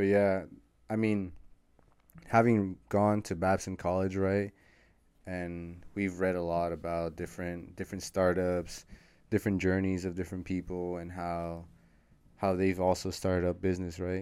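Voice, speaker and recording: Using a monotone, flat intonation and long, frequent pauses, a man with a very deep, low pitch talks with an American accent. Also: moderate pace. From San Rafael, Marin County, California. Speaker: college student and social media entrepreneur. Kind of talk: casual chat.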